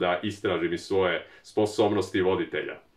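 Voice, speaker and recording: A man speaks fairly quickly, and the background is quiet. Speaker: YouTube film channel creator. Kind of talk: documentary narration. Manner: fast.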